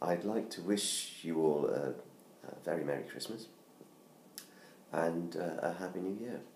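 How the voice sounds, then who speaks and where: Using a put-on character voice, a man talks at a moderate pace with a very deep, low pitch. His voice is hoarse, and clear background noise can be heard. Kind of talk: casual seasonal greeting. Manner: cheerful holiday greeting. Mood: warm festive.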